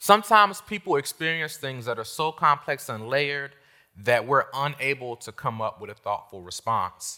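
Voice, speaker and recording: In a very clean recording with a silent background, a man with an American accent speaks at a moderate pace in a bright, sharp tone, his fairly high pitch swinging very widely and his loudness shifting a lot. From Washington, D.C. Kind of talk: monologue teaching talk. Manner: repeats words, some stammering.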